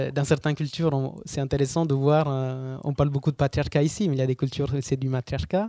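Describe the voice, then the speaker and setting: A man with an Italian accent speaks at a moderate pace in a fairly high pitch, his intonation fairly even and his tone dark and mellow. The recording is very clean with a silent background, and the sound is dry and close with no echo. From southern Italy, Basilicata. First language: Italian (speaking French). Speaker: photographer and traveller. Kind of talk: interview storytelling. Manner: hesitant, frequent fillers.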